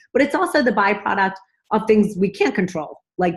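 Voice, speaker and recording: A woman's animated, somewhat breathy voice at a fairly quick pace, with lively intonation. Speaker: vlogger promoting a nutrition supplement. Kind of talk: casual sales pitch to camera. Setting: at home. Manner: fast.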